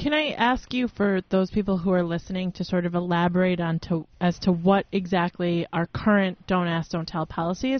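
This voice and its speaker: Using an unremarkable speaking voice, a woman talks at a moderate pace and fairly low pitch with ordinary pitch variation. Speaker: radio co-host. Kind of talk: casual chat. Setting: studio.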